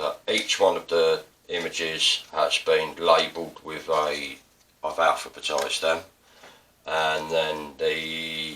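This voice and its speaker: A man with an Estuary accent speaks at a very slow pace over noticeable background noise. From England. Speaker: artist and printmaking teacher. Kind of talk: tutorial. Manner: casual. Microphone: poor mic, upgrade expected.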